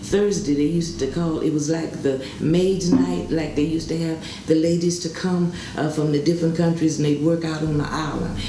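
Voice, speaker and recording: A woman with an American accent speaks at a moderate pace and a fairly low pitch. Noticeable background noise and audible room echo come through. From Indiana. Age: 70s. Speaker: veteran swing dancer. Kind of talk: interview.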